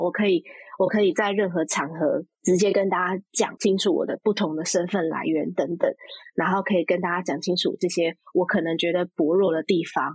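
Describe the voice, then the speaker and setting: A woman speaks at a medium pitch in a normal speaking voice. The sound is dry and close, with no echo. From Taiwan, Taipei. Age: 30s. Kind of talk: interview conversation.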